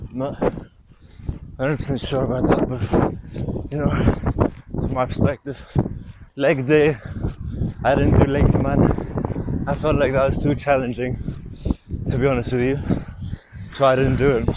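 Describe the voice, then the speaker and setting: Fairly slow speech with long, frequent pauses against noticeable background noise. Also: man. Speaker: vlogger. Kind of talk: casual monologue. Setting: outdoors.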